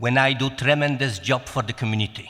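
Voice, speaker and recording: Speaking in a Polish accent, a man has a fairly high pitch. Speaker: city council candidate. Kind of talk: candidate forum speech.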